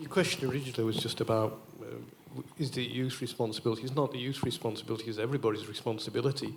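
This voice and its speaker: A man with a medium pitch and fairly even intonation rattles along very fast while noticeable background noise plays behind him. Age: 60s. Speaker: audience member. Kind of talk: audience comment at Q&A.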